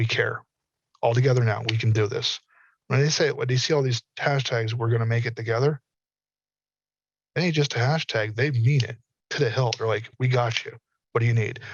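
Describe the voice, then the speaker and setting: In an American accent, a man speaks at a medium pitch with a somewhat breathy sound. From US South. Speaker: metaverse industry speaker. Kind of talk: panel discussion. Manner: animated.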